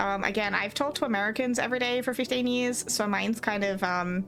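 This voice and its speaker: With music playing in the background, a woman speaks at a fairly quick pace in a high pitch. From Australia. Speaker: streamer. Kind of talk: casual chat. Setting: live stream. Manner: fast.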